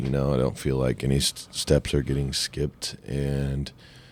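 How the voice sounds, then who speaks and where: There is noticeable background noise behind this voice. A man with an American accent speaks at a very deep, low pitch. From US Midwest, southwest Ohio. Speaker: country singer-songwriter. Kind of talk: casual chat.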